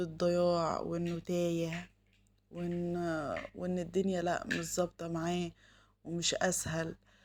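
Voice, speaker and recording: A woman is speaking. She has an Egyptian accent. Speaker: home vlogger, mother. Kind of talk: casual vlog narration. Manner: halting, many fillers.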